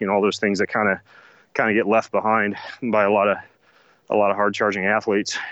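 With an American accent, a man speaks at a very fast pace broken by long, frequent pauses, his fairly low pitch held in monotone, flat intonation at very even loudness. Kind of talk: casual interview chat.

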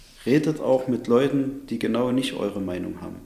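A man talks at a fairly quick pace with ordinary pitch variation, and audible room echo surrounds his voice. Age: 30s. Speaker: city councillor and police officer. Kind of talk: interview.

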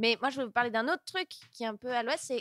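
An ordinary speaking voice comes through with ordinary pitch variation in a dry, close sound with no echo. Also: woman, very clean recording, silent background. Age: 20s. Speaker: stand-up comedian. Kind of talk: casual chat.

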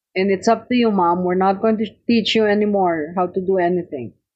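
Speaking at a moderate pace and a medium pitch, a woman with a Filipino accent uses ordinary pitch variation. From Philippines, Tarlac. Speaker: cookbook author. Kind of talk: interview, personal reminiscence.

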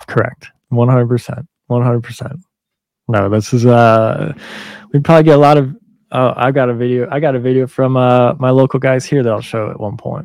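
A man with an unremarkable speaking voice talks at a medium pitch and moderate pace, his intonation fairly even. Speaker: firefighter podcast host. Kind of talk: casual chat with swearing.

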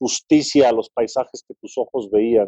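Dry and close with no echo, a man's voice carries a dark, mellow tone and ordinary pitch variation. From Mexico, San Luis Potosí. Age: 40s. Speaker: wildlife photographer and conservationist. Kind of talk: interview conversation.

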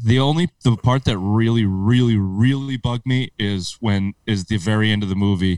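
A man with an American accent in an ordinary speaking voice, fairly low in pitch with ordinary pitch variation, at a moderate pace with hardly any pauses, the sound dry and close with no echo. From upstate New York. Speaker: sports podcast host. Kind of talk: casual banter. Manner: profane, joking.

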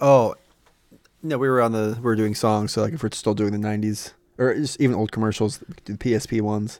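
A man with an unremarkable speaking voice talks at a fairly quick pace and medium pitch, keeping his intonation fairly even. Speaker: podcast co-host. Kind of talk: casual chat.

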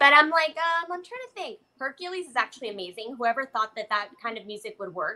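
Speaking in a raised, projected voice, a woman talks fairly quickly with hardly any pauses, her high pitch swinging very widely and her loudness rising and falling sharply. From Mexico. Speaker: illustrator. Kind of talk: casual chat.

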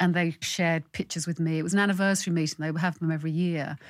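With a London accent and a fairly low pitch, a woman speaks at a very fast pace on a very clean recording with a silent background. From London, Irish parents. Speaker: playwright. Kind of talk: casual interview.

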